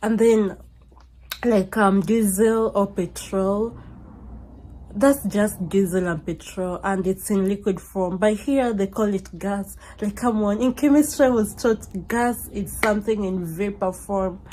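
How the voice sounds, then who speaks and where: In an African accent, a woman speaks at a fairly slow pace and medium pitch, somewhat breathy, with a dark, mellow tone and ordinary pitch variation. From Kenya. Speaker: YouTuber. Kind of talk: casual storytime. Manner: conversational with many fillers.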